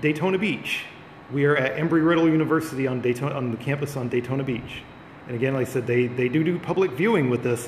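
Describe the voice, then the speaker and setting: A man talking very fast, with light background noise and audible room echo. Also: ordinary pitch variation. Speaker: live streamer touring observatory. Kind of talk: casual live-stream commentary. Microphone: phone near.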